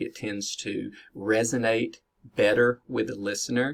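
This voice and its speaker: A man with an American accent talks at a moderate pace with fairly even intonation. The recording is very clean with a silent background. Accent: Southern US, strong but reduced. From US South. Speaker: business educator. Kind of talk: lecture. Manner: many fillers (uh, um).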